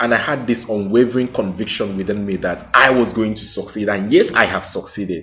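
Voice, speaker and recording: A man with a Nigerian accent and a fairly low voice speaks at a moderate pace. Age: 30s. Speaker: small business owner and vlogger. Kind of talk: personal testimony vlog.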